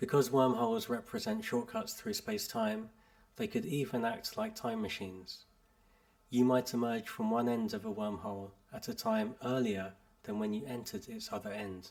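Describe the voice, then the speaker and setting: Using very wide pitch swings, a man with a British accent and medium pitch speaks at a moderate pace. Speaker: English teacher. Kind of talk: article read aloud for learners. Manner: clear, measured.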